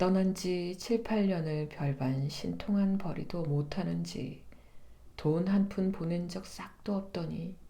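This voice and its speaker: Her voice fairly low in pitch, a woman speaks at a very slow pace with ordinary pitch variation, a warm, soothing, dark, mellow tone and a somewhat breathy quality. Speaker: voice actor. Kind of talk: literary narration reading of a novel. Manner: soft, warm, soothing.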